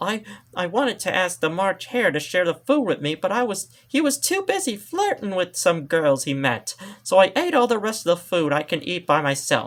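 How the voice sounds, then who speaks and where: A man's put-on character voice, high in pitch. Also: moderate pace. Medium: read story.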